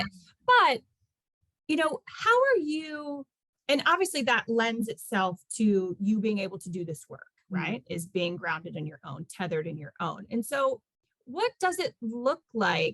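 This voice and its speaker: Dry, close sound with no echo, very wide pitch swings and big jumps in loudness. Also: woman, fairly high pitch for a woman. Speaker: podcast host. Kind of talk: casual interview host talk.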